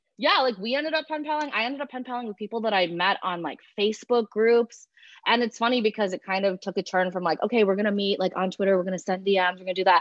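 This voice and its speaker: Speaking at a very fast pace, a woman with an American accent uses a medium pitch and lively intonation. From Illinois, US Midwest. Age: 20s. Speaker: guest. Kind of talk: casual chat.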